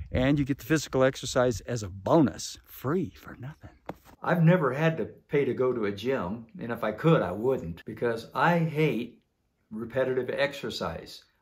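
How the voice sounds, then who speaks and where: A somewhat breathy man's voice at medium pitch and moderate pace, with lively intonation and big swings in loudness. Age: 70s. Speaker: homesteader and trainer. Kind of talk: casual instructional talk.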